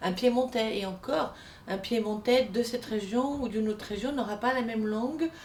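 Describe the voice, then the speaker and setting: Noticeable background noise runs under this woman's voice. Her pitch is fairly high, with ordinary pitch variation. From France, Italian emigrant family from Piedmont. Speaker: singing teacher. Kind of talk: lesson on Italian diction for singers. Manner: animated.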